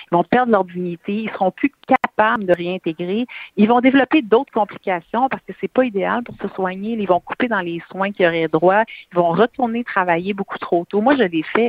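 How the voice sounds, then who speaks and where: A woman talks at a moderate pace and medium pitch, with ordinary pitch variation. It is a normal speaking voice. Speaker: advocacy campaign founder, cancer survivor. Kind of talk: interview.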